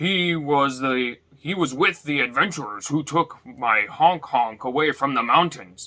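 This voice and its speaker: A man uses a put-on character voice at a fairly high pitch. He speaks fairly slowly with hardly any pauses. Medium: read story.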